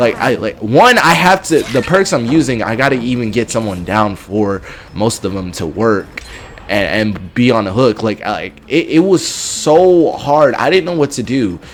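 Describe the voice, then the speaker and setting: Loud and at a moderate pace, a man talks in a medium pitch with very wide pitch swings. There is noticeable background noise. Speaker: gaming youtuber and streamer. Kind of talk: gameplay commentary. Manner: halting, repetitive stammering.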